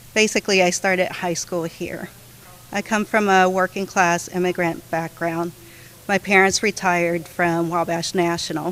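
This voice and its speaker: A woman's medium-pitched voice, monotone and flat, at a moderate pace against noticeable background noise. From California. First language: Spanish. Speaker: county council candidate. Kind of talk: candidate forum statement.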